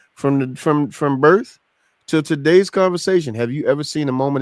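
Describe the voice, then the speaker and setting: A man talks at a fairly quick pace in a normal speaking voice, pitched fairly high. His pitch varies in an ordinary way. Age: 50s. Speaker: podcast host. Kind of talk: casual chat. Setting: live stream.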